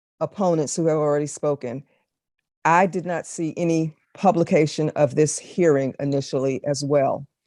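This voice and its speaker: A woman's dark, mellow voice at a very deep, low pitch, with an American accent, fairly even intonation and a moderate pace, dry and close with no echo over a quiet background. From Maryland, Prince George's County. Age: 60s. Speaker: public hearing witness. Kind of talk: legislative testimony. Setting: committee hearing.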